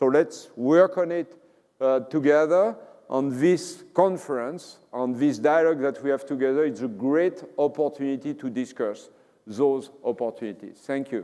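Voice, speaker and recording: A man with a French accent talks at a moderate pace in a fairly high voice, with ordinary pitch variation. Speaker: company CEO. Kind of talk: conference keynote and Q&A.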